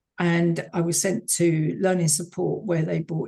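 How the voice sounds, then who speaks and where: The voice has a dark, mellow tone and sounds somewhat breathy. It carries a southern English accent and fairly even intonation. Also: woman. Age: 70s. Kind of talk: interview.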